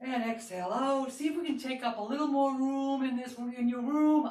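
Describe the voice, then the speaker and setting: Audible room echo surrounds a woman speaking at a high pitch and a fairly slow pace with ordinary pitch variation. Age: 60s. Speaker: fitness instructor. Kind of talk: fitness class instruction. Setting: live broadcast.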